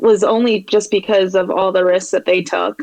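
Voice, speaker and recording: A woman speaks at a medium pitch. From New York, Long Island. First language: Spanish. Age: 20s. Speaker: graphic designer. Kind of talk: podcast interview.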